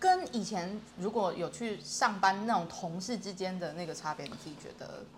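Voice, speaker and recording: A woman at a moderate pace with hardly any pauses, ordinary pitch variation and big swings in loudness over noticeable background noise. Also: medium pitch for a woman. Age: 30s. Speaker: self-employed online language tutor. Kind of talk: casual chat.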